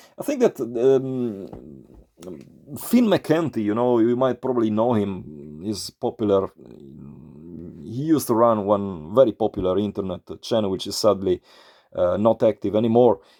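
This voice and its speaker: A dark, mellow voice in an Italian accent moves at a moderate pace with long, frequent pauses, the sound dry and close with no echo on a very clean recording with a silent background. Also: man, medium pitch for a man, ordinary pitch variation. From Italy. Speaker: YouTuber, metal vinyl collector. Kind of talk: casual vlog monologue. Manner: halting, many fillers.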